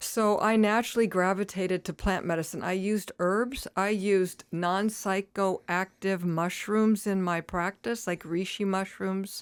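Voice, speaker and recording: With an unremarkable speaking voice at medium pitch, a woman talks at a fairly slow pace with hardly any pauses and fairly even intonation, on a very clean recording with a silent background. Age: 60s. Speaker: retired nurse practitioner and cannabis advocate. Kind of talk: casual interview.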